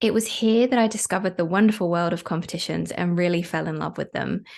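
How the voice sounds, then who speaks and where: A woman's medium-pitched voice in a British accent, with fairly even intonation, over a quiet background. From UK. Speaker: podcast host, competition marketing expert. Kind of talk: podcast monologue, personal story.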